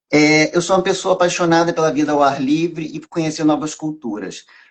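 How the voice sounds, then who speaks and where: A man talks at a fairly quick pace. His voice is fairly high. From Brazil, Rio de Janeiro and Minas Gerais. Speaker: tax lawyer and professor. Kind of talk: live stream interview.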